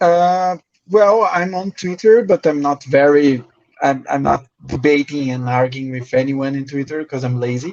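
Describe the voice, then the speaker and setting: In a Brazilian accent, the speaker goes at a fairly slow pace in a dry, close sound with no echo. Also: man. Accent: Brazilian Portuguese accent, rusty English. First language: Portuguese. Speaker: crypto journalist. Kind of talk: podcast interview. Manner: halting.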